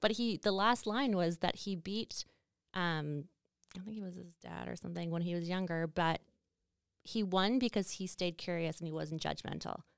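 Speaking at a moderate pace with ordinary pitch variation, a woman with a Canadian Prairie accent comes through on a very clean recording with a silent background. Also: fairly low pitch for a woman. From Saskatchewan, Canada. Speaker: podcast host, marketing business owner. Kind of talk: casual chat.

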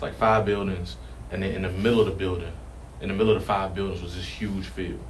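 Very fast speech in an American accent, with big swings in loudness, noticeable background noise and audible room echo. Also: man, very deep, low pitch for a man, ordinary pitch variation. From Richmond, Virginia. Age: 20s. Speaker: firefighter. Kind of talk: interview.

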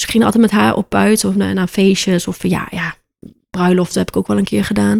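Her pace is moderate as this woman talks. The recording is dry and close, with no echo. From Aruba. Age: 20s. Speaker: birth photographer. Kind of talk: casual interview.

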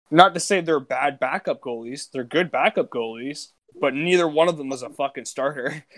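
In a plain, everyday voice, a man speaks at a moderate pace with a fairly high pitch, ordinary pitch variation and big swings in loudness. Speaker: podcast co-host. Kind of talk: casual banter, joking around. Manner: profane, joking.

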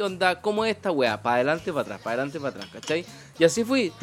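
A man with a Chilean accent, music in the background. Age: 40s. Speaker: podcast host. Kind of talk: casual chat.

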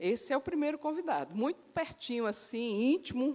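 A woman is speaking. Her pitch swings very widely. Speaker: preacher. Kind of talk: sermon.

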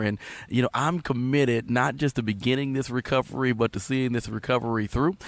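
With a Louisiana accent, a man talks at a fairly quick pace. His medium-pitched voice has ordinary pitch variation. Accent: US Southern (Louisiana). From Southwest Louisiana. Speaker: pastor. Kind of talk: casual chat.

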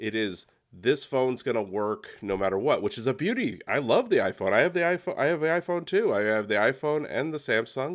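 Over a silent background in a very clean recording, a man talks at a fairly quick pace, his fairly high pitch moving in very wide swings. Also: hardly any pauses. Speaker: photography educator guest. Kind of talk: casual interview conversation. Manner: conversational, repeats words.

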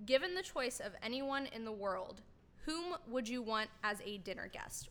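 A woman speaks at a fairly high pitch with a bright, sharp tone. Her intonation is lively, though her pace is fairly slow. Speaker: podcast intern. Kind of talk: reading questions aloud. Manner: halting; unenthusiastic.

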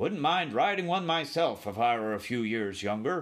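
Using a put-on character voice, a man talks at a fairly high pitch and a moderate pace. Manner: blunt, hearty.

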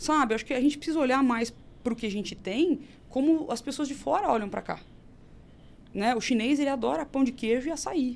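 A woman speaks fairly quickly at a high pitch, her intonation lively. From Brazil, Campinas (São Paulo state). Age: 30s. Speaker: nutritionist and traditional Chinese medicine teacher. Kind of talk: casual interview chat.

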